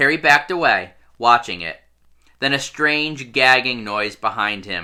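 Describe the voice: This is plain reading aloud. The text is read through in that way.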